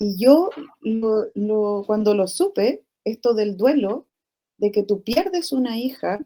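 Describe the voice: Her tone is dark and mellow, set at medium pitch for a woman. She speaks at a slow pace with lively intonation.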